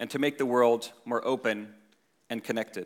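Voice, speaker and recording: The voice belongs to a man. He speaks with an American accent. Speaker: tech company executive. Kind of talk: conference speech.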